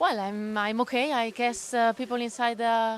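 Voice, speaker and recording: A woman talks at a moderate pace with a fairly high pitch. Her intonation stays fairly even. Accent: Spanish. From Spain. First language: Spanish. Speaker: space agency ground operations engineer. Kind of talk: interview. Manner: halting.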